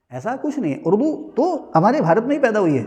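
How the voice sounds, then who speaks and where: Audible room echo surrounds a man's dark, mellow tone. He speaks at a moderate pace with very wide pitch swings. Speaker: teacher. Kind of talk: lecture. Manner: conversational, rhetorical questions.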